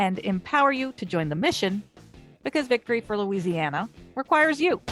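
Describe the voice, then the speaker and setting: A woman speaks at a fairly quick pace with a fairly high pitch. Her pitch swings very widely, and music plays in the background. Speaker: podcast host. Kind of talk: podcast intro read.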